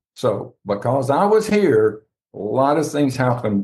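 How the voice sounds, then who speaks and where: The intonation is lively and the voice somewhat breathy. It belongs to a man with a medium pitch. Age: 70s. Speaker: author. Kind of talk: interview.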